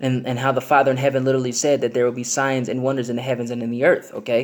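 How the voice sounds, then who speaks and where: Over noticeable background noise, a man talks very fast in a monotone, flat intonation. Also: medium pitch for a man. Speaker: religious video blogger. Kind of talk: religious monologue. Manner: hesitant, many fillers.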